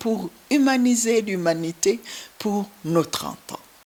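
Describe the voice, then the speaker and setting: Noticeable background noise sits behind a woman at medium pitch. She talks at a very slow pace with lively intonation. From Burundi, Ruyigi (east). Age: 60s. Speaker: humanitarian founder. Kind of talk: interview testimony.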